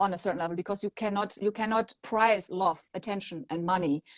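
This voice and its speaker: A woman speaks with a non-native accent, recorded with a dry, close sound and no echo. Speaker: maternity photographer. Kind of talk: interview answer.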